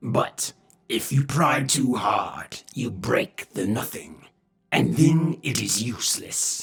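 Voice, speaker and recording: Gruff, growling put-on character voice from a man, at a very slow pace. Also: medium pitch for a man. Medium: read story. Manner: gruff, terse.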